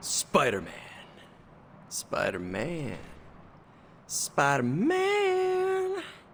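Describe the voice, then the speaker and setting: A man's put-on character voice at a very slow pace, with long, frequent pauses and clear background noise. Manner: scary, dramatic.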